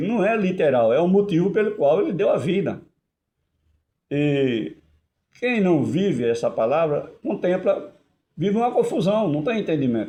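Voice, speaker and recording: A man with a high pitch and a dark, mellow tone talks at a moderate pace with lively intonation. His loudness stays very even, broken by long, frequent pauses. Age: 70s. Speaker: lay preacher. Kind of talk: sermon. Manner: halting.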